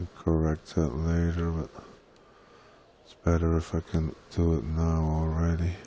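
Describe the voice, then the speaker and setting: Mumbling in a very deep, low, dark and mellow voice, a man talks with a monotone, flat intonation, long, frequent pauses and big swings in loudness. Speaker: gaming content creator. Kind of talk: live tutorial.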